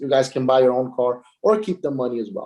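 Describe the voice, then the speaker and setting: The voice belongs to a man. It has a dark, mellow sound. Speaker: company founder presenting business plan. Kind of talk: online presentation of compensation plan. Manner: fast; hesitant, many fillers.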